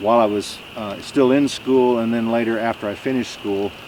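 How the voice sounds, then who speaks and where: Over noticeable background noise, a man at medium pitch talks at a fairly quick pace in a relaxed tone with fairly even intonation. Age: 60s. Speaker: YouTuber building a cabin, paramedic. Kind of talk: casual vlog talk to camera. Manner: relaxed, with many fillers.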